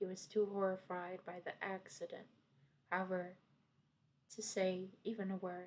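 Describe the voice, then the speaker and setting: A woman's medium-pitched, monotone voice at a moderate pace, flat in intonation, broken by long, frequent pauses. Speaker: vtuber / content creator. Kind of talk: ASMR creepypasta storytime reading.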